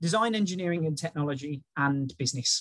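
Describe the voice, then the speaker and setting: A man with an English Midlands accent, moderate pace and ordinary pitch variation, in a dry, close sound with no echo. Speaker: early careers recruitment specialist. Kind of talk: interview conversation.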